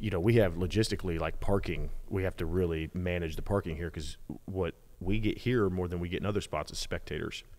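This man has a very deep, low pitch. He speaks at a very fast pace with fairly even intonation. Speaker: podcast host. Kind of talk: casual podcast conversation. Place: garage. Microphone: studio mic.

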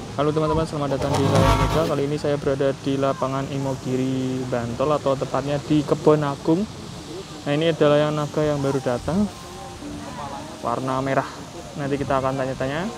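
Clear music plays in the background. Over it, a man speaks fairly quickly with fairly even intonation. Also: dry sound with no echo. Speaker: kite vlogger. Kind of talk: casual vlog commentary. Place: open country.

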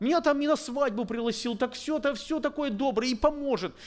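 Against a quiet background, a man speaks at a fairly quick pace with an extremely high pitch and ordinary pitch variation. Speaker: preacher. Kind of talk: sermon. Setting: church. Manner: earnest, exhorting, urgent; conversational, halting, thinks aloud. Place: church. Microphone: podium.

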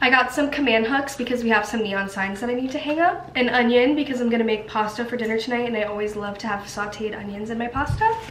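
Talking very fast with hardly any pauses, a woman shows ordinary pitch variation over light background noise and audible room echo. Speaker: college student vlogger. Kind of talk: casual vlog chat. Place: kitchen. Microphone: phone near.

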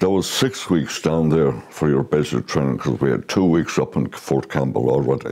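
Over noticeable background noise, a man with a very deep, low voice talks at a moderate pace with hardly any pauses, ordinary pitch variation and very even loudness. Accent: western Irish. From Ireland, County Galway and County Meath. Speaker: war veteran. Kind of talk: oral history testimony. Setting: recorded at home with his son. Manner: halting.

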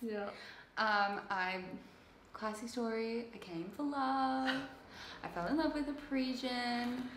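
A woman speaks at a fairly high pitch with very wide pitch swings and a fairly slow pace, leaving long, frequent pauses. Audible room echo and light background noise surround her voice. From Sydney, Australia. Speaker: intern. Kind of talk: casual chat. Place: home room. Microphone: camera far.

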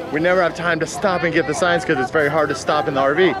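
Clear music plays in the background as a man speaks at a very fast pace. His pitch variation is ordinary and the sound is dry with no echo. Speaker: family travel vlogger. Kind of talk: casual vlog chat. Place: street. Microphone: phone near.

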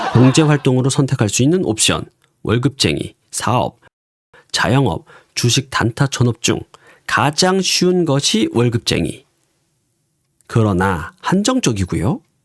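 On a very clean recording with a silent background and a dry, close sound with no echo, a man speaks very slowly at a medium pitch, with very wide pitch swings, very even loudness and long, frequent pauses. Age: 40s. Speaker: stock day trader and YouTuber. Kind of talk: scripted narration.

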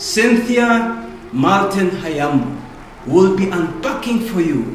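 A man speaks at a very slow pace. Light background noise and audible room echo surround his voice. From Namibia. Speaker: motivational speaker. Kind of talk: promotional announcement. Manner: energetic. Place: studio.

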